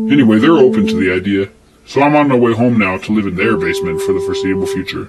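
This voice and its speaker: Amid noticeable background noise, a man with an American accent talks at a very fast pace. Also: fairly low pitch for a man, ordinary pitch variation. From southern Colorado, US. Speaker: podcast host. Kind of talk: audio journal narration. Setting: in a car.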